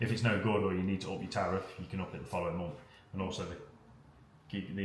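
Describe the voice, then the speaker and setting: In an English accent, a man with a very deep, low pitch talks at a very fast pace amid audible room echo. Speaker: vlogger. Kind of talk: casual chat.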